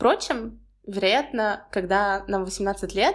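This woman is heard on a very clean recording against a silent background. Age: 20s. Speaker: podcaster, university student. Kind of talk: solo podcast monologue.

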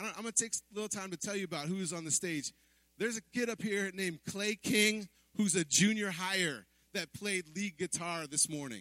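A man's raised, projected voice, high-pitched with a bright, sharp tone and ordinary pitch variation, comes at a moderate pace in a dry, close sound with no echo. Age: 40s. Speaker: pastor. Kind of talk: sermon. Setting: church. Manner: animated.

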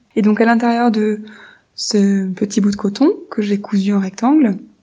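Somewhat breathy and gentle in tone, a woman speaks at a fairly high pitch with a dark, mellow quality. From France. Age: 20s. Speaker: primary school teacher. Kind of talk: monologue.

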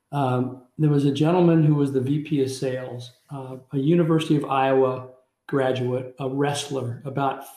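In a Midwestern US accent, a man speaks very slowly at a fairly high pitch with monotone, flat intonation. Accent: US Midwest. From Kansas City, Missouri. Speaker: business executive. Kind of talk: interview.

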